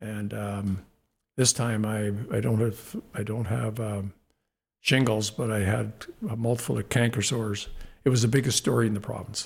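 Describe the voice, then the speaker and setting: A man with a Canadian accent speaks slightly breathily at a fairly slow pace, in a fairly low pitch with fairly even intonation and long, frequent pauses. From Canada, Saskatoon, Saskatchewan. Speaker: former athlete and businessman. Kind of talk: interview.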